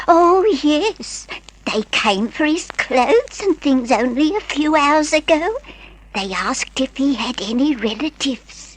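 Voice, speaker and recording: A woman's put-on character voice, high-pitched and fairly slow, with very wide pitch swings. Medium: old radio play. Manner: chatty, hesitant.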